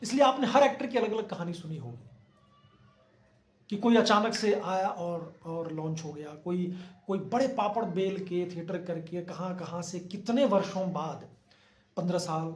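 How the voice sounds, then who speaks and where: A man speaks at a high pitch with ordinary pitch variation. His loudness swings widely. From Bihar, India. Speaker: actor and acting coach. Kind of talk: acting advice talk to camera.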